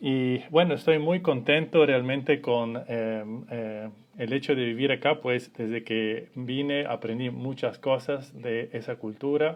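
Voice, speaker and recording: At a very slow pace, a man speaks with hardly any pauses. He has an Italian accent and a medium pitch. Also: ordinary pitch variation. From Italy. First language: Italian (speaking Spanish). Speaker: family constellations facilitator. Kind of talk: live stream introduction. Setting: Instagram live. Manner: hesitant, many fillers.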